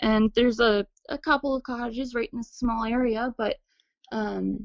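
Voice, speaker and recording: A woman speaks with a Nova Scotian accent at a fairly high pitch. Her intonation stays monotone and flat. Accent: Nova Scotian Canadian English. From Nova Scotia, Canada. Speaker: witness sharing encounter. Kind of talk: testimony.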